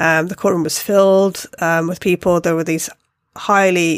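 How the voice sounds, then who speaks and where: In a very clean recording with a silent background, a woman with a British accent speaks at a medium pitch with fairly even intonation. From Britain. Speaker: podcast co-host. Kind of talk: casual chat.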